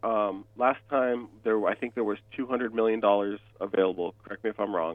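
A man with a plain, everyday voice talks at a medium pitch and a fairly quick pace. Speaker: mortgage lender. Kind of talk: radio interview.

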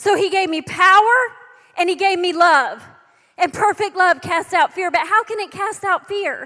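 Speaking in an American accent, a woman uses a raised, projected voice at an extremely high pitch, her tone animated, bright and sharp, with ordinary pitch variation. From Texas. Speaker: preacher and author. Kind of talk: sermon. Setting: church service with audience.

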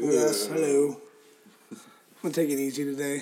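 A man puts on a character voice. It sits at a fairly high pitch. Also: moderate pace. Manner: slow, low-energy.

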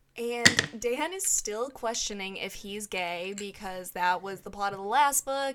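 Delivery comes at a fairly slow pace in a normal speaking voice. The pitch shows ordinary variation. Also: woman. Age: 30s. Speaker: book podcast host. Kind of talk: casual chat.

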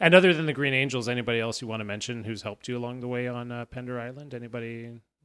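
A man with a medium-pitched voice talks at a very fast pace, his intonation fairly even and his loudness swinging widely. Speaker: podcast host. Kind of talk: casual interview.

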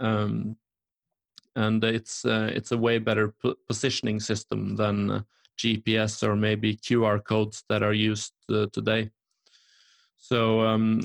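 A man's fairly low voice with a Norwegian accent, very slow and monotone with flat intonation, in a dry, close sound with no echo. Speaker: entrepreneur and speaker in construction tech. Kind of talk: casual interview chat.

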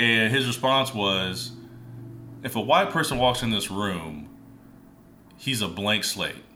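Amid noticeable background noise, a man speaks very slowly with lively intonation and long, frequent pauses. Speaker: music producer and podcast host. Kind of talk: casual chat.

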